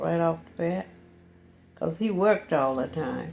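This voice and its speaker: A woman talks at a fairly slow pace. She has a Southern US accent. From Louisiana, US South. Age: 80s+. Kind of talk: interview answer.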